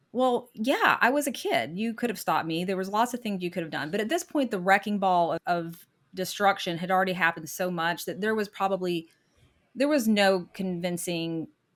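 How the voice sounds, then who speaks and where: A woman with an American accent speaks in a plain, everyday voice at a medium pitch in a very clean recording with a silent background. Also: lively intonation, fairly quick pace. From US South. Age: 50s. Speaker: podcast guest telling her divorce story. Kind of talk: interview testimony.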